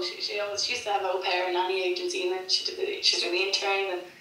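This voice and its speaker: Speech comes at a very fast pace. There is audible room echo and noticeable background noise. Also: woman. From Ireland, Cork. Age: 20s. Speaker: singer-songwriter. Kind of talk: interview. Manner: fast, with many repetitions and false starts.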